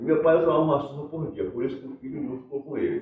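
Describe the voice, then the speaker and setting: Noticeable background noise fills the recording. A man talks very fast over it. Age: 60s. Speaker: folk performer. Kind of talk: life-story interview. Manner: halting.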